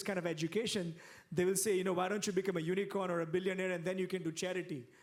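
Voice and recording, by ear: A man talks at a fast pace in a high voice. His intonation stays fairly even.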